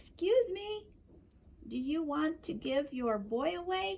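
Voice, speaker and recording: A woman puts on a loud character voice. Her high pitch swings very widely. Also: fairly slow pace. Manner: loud but very polite.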